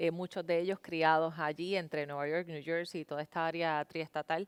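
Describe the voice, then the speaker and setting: With a Puerto Rican accent, a woman with a fairly low pitch speaks in monotone, flat intonation at a moderate pace, in a very clean recording with a silent background and a dry, close sound with no echo. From Puerto Rico. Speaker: TV news anchor. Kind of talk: interview.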